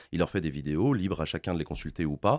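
The background is quiet as a man speaks at a fairly quick speed. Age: 30s. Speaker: political streamer. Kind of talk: interview. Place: studio. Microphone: studio mic.

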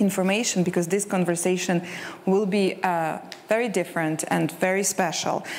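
A woman speaks at a moderate pace in a monotone, flat intonation with very even loudness. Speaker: session moderator. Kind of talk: moderator introduction. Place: stage. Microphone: lapel.

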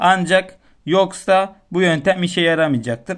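The speech moves at a moderate pace. The background is quiet. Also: man. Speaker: tech YouTuber. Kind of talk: tutorial. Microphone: phone near.

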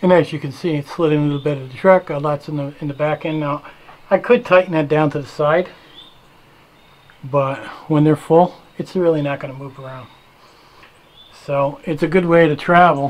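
A man talks at a moderate pace with fairly even intonation. He leaves long, frequent pauses. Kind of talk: tutorial. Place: garage. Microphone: phone near.

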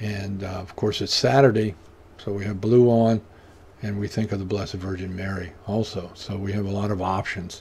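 At a moderate pace, a man speaks with fairly low pitch, a somewhat breathy quality and fairly even intonation over light background noise. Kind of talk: prayer service leading. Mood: calm, devout. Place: home room. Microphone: webcam.

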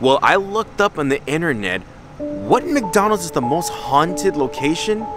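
A man speaks in a dry recording with no echo, clear music playing behind him. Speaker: vlogger. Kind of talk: casual vlog chat. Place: street. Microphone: phone near.

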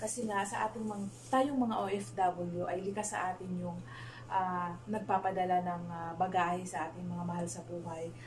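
A woman has an unremarkable speaking voice, fairly low in pitch, with lively intonation at a moderate pace. Light background noise sits behind her. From Philippines. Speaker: vlogger, overseas Filipino worker; overseas worker vlogger. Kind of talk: casual vlog; casual vlog chat. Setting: small bedroom. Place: home room. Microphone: camera far.

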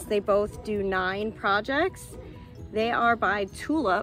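A woman's voice with ordinary pitch variation, dry with no echo, over clear background music. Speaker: crafts vlogger. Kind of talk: casual vlog chat. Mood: cheerful and upbeat. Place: garden. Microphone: phone near.

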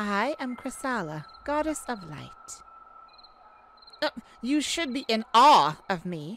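A woman puts on a character voice that is fairly high-pitched and fairly bright, moving slowly with big pitch swings.

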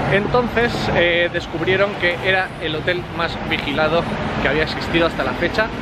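A man is heard in a dry sound with no echo over loud background noise. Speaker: motorcycle travel vlogger. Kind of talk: casual vlog chat. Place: street. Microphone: lapel.

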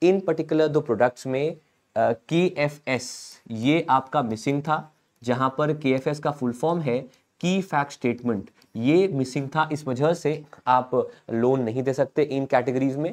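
A man's fairly high pitch with ordinary variation. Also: fairly slow pace. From India. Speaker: online exam-prep teacher. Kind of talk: live-streamed current affairs lecture. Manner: animated. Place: studio. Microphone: lapel.

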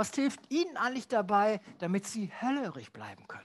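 The voice belongs to a man with a high pitch. He talks at a moderate pace. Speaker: host. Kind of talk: host addressing audience. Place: stage. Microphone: headset.

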